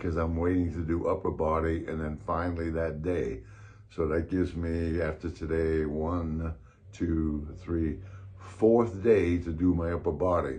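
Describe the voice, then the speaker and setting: In a room with audible echo, a man talks at a fairly slow pace, his very deep, somewhat breathy voice dark and mellow in tone, with fairly even intonation. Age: 80s+. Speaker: fitness vlogger. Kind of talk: tutorial. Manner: casual.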